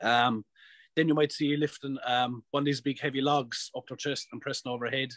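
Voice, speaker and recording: Speaking with an Irish accent, a man with fairly high pitch keeps a moderate pace and fairly even intonation in a dry, close sound with no echo. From Ireland. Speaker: professional strongman athlete. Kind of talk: podcast interview answer. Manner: casual, profane.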